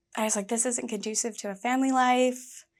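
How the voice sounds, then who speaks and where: Over a silent background in a very clean recording, a woman with an American accent speaks in a bright, sharp tone with fairly even intonation. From US South, Georgia. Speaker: actress. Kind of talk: interview. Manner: casual, fillers like 'like'.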